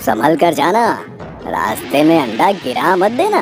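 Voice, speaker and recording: A man's cartoonish character voice, fairly high in pitch and at a fairly slow pace, with clear background noise. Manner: sly, mock-pious.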